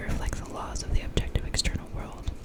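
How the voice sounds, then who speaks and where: A whisper moves at a moderate pace as noticeable noise runs in the background. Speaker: ASMR reader. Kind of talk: ASMR reading of a political text. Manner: whispered.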